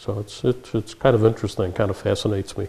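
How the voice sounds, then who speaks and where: A man's fairly low, dark and mellow voice at a fairly quick pace, with monotone, flat intonation. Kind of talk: interview answer. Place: garage. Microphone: camera far.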